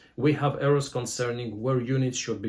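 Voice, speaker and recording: A man with a somewhat breathy voice at a medium pitch speaks on a very clean recording with a silent background. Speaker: board game reviewer. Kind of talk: review. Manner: halting.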